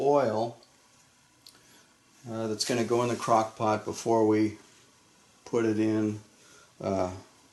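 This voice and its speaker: Very slow speech from a man amid noticeable background noise. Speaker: soap maker. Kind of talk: tutorial. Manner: halting.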